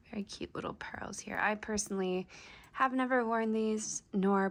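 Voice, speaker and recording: Soft-spoken and relaxed in tone, the voice comes through on a very clean recording with a silent background. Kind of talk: soft-spoken show and tell to camera. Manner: soft-spoken, relaxed.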